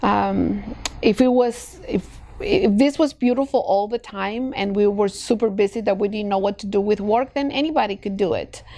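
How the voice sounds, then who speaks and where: Over noticeable background noise, a woman with a Spanish accent speaks at a moderate pace, her pitch fairly high with ordinary variation. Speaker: escrow company president. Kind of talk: podcast interview. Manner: hesitant, many fillers.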